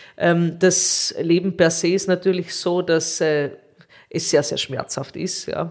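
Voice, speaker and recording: A woman speaks very slowly in a fairly low pitch with monotone, flat intonation, with noticeable background noise. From Austria, Carinthia. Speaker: nephrologist. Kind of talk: interview.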